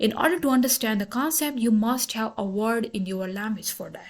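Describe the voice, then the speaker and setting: A woman talks at a fairly quick pace in a fairly high pitch. Her voice is somewhat breathy, with ordinary pitch variation. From Pakistan. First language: Pashto. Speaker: lecturer. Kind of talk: lecture. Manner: halting, with frequent self-corrections.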